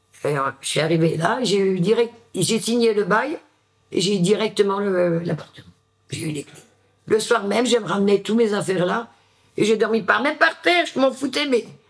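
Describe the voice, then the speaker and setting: A woman's medium-pitched voice moves fairly slowly, her intonation lively. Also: long, frequent pauses, big swings in loudness. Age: 50s. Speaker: former homeless person. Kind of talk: testimony. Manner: halting.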